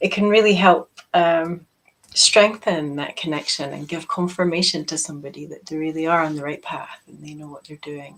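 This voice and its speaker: Fairly low in pitch, a woman speaks at a moderate pace with fairly even intonation. Her loudness swings widely. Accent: Scottish. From Scotland, Peebles. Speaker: quantum healing practitioner. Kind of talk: casual chat.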